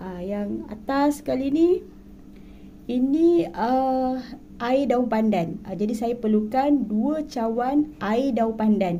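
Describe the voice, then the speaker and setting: At a very slow pace, a woman speaks in a fairly high pitch with a dark, mellow tone and ordinary pitch variation. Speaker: cooking vlogger. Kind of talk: cooking tutorial.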